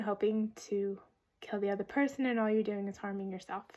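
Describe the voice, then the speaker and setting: A woman's voice at a fairly high pitch. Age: 40s. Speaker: lifestyle vlogger. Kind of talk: personal vlog monologue. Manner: hesitant, with filler words.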